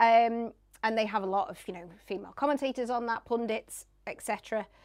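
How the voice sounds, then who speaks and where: In a northern English accent, a woman talks at a moderate pace with a fairly high pitch and ordinary pitch variation. Her loudness swings widely on a very clean recording with a silent background. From northern England. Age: 40s. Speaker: radio presenter and sports journalist. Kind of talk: casual interview chat. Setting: studio.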